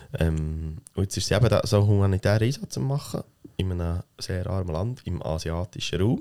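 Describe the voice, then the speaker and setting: A man with a very deep, low pitch and a dark, mellow tone speaks at a moderate pace with ordinary pitch variation, the sound dry and close with no echo. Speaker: podcast co-host. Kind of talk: casual chat.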